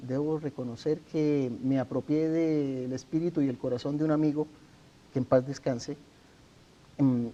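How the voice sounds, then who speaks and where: A man speaks at a fairly slow pace with a Colombian accent, leaving long, frequent pauses. His tone is dark and mellow, and his pitch is fairly high. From Colombia, Santander. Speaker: author interviewed about his imprisonment. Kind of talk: TV interview. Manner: formal.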